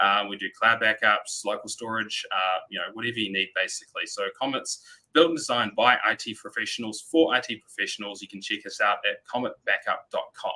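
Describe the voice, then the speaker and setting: A man speaks in a New Zealand accent. His pace is fairly quick. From New Zealand, Christchurch. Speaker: sales representative for backup software. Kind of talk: webinar presentation.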